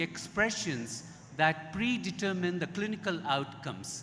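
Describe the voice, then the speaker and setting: A man's high voice with lively intonation at a fairly slow pace, in audible room echo. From India. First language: Indian language, English learned. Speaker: Ayurveda expert speaker. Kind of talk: conference talk.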